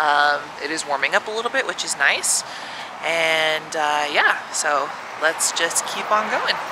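At a fairly slow pace, a woman talks with ordinary pitch variation, the sound dry with no echo and noticeable background noise behind her. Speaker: travel vlogger. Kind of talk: casual vlog chat. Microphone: phone near.

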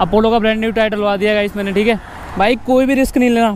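Over light background noise, a man talks at a high pitch. His intonation is fairly even, and the sound is dry with no echo. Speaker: motovlogger. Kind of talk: casual vlog chat. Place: motorbike. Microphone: helmet.

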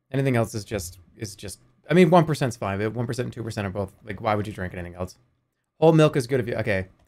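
A man talks with very wide pitch swings. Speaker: live streamer. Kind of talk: casual gaming commentary, reacting to chat.

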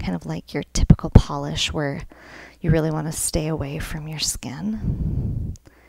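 Whispering, a woman talks at a fairly slow pace. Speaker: ASMR content creator. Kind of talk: ASMR nail painting tutorial, casual talk to camera. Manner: friendly, casual, conversational. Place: home room. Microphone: phone near.

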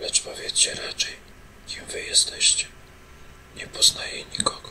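A whisper at a fairly slow pace, with noticeable background noise behind it. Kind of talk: read story; bedtime ASMR story reading. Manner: whispered.

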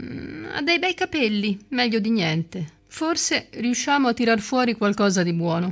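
With vocal fry and big pitch swings, a put-on character voice moves at a fairly slow pace. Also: woman, fairly high pitch for a woman.

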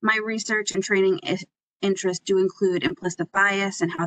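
A woman talks at a fairly quick pace. The sound is dry with no echo, and the background is quiet. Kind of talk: conference presentation self-introduction. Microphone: video call.

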